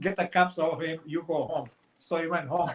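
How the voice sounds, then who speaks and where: At a moderate pace, a man speaks with a Montenegrin accent. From Montenegro. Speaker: author. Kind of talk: interview answer.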